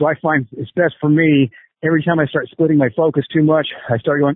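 This man has an ordinary speaking voice, pitched fairly high. He talks fairly quickly with fairly even intonation. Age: 50s. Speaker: combat sports coach. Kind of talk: interview.

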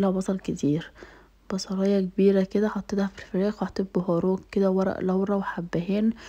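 A woman with an Egyptian accent speaks at a moderate pace in a dark, mellow tone with fairly even intonation, over a quiet background. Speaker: lifestyle vlogger. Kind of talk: casual vlog talk. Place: kitchen. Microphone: phone near.

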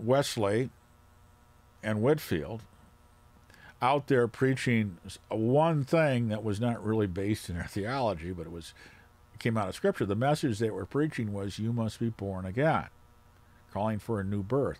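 A man speaks at a fairly slow pace in a fairly low voice, with ordinary pitch variation, a slightly mellow tone, and long, frequent pauses.

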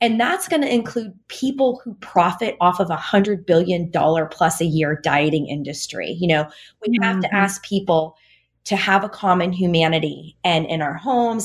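Here is a woman with an ordinary speaking voice and medium pitch. She keeps a moderate pace and ordinary pitch variation. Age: 40s. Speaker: registered dietitian and author. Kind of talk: interview conversation.

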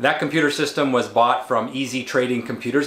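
Audible room echo fills the space. A man is speaking fairly quickly. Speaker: educator. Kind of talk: tutorial. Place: home room.

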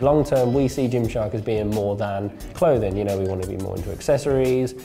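At a fairly quick pace, a man talks with ordinary pitch variation while faint music plays behind him. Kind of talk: interview answer. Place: office. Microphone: lapel.

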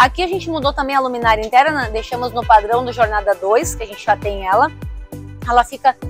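A woman's voice over clear music in the background, dry with no echo. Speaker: presenter. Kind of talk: product tour presentation. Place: street. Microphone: lapel.

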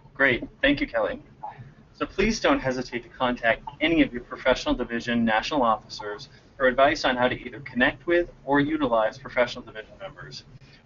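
Very fast speech with ordinary pitch variation. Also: man, medium pitch for a man. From New England. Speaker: national president of a professional association. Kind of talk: webinar presentation.

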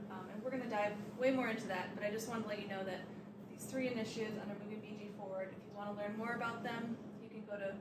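A woman's voice amid loud background noise. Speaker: village staff host. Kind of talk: public meeting introduction. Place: meeting room. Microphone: handheld.

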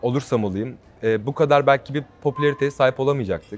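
A man speaks at a medium pitch with fairly even intonation. Music plays in the background. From Turkey, Ankara. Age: 20s. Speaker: reality show contestant, model and singer. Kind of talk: interview. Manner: hesitant with frequent fillers.

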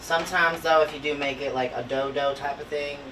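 A man talks at a fairly quick pace. Behind him, clear music can be heard. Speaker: home cook vlogger. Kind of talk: casual cooking tutorial. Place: kitchen. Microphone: camera far.

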